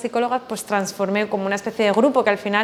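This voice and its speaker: Fairly high-pitched woman with fairly even intonation over noticeable background noise. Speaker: psychologist and business mentor. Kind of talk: webinar lecture. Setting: online webinar. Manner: fast.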